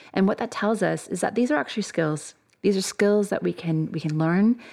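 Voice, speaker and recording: In a Canadian accent, a woman with an unremarkable speaking voice talks at a moderate pace with lively intonation. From Canada. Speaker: sport psychologist and academic. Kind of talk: interview. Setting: studio.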